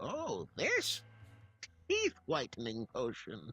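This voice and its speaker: A man speaks at a very slow pace in a put-on character voice. Faint music plays in the background. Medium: video game. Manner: showy, playful.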